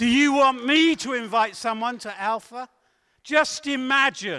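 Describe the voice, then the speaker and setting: In a very clean recording with a silent background, a man speaks in a raised, projected voice with a bright, sharp, animated tone. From southern England. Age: 60s. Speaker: evangelist. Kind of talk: sermon. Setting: church.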